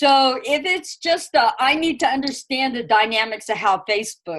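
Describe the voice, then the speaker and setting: A woman speaks at a moderate pace in a high voice whose pitch swings very widely. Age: old. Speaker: earth wisdom elder and teacher. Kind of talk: interview. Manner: loud.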